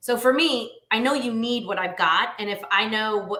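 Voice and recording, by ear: Audible room echo surrounds a woman's voice. She has a bright, sharp tone and a moderate pace.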